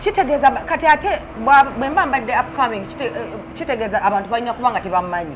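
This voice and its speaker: Over noticeable background noise, a woman with an American accent talks very fast in a high, animated voice with very wide pitch swings. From United Kingdom. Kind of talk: casual interview.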